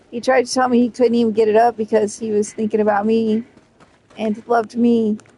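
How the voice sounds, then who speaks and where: Fairly quick, monotone and flat delivery over noticeable background noise. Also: woman, fairly high pitch for a woman. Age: 40s. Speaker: video game streamer. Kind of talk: casual chat. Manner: flat, same tone whether mad or happy; dry delivery.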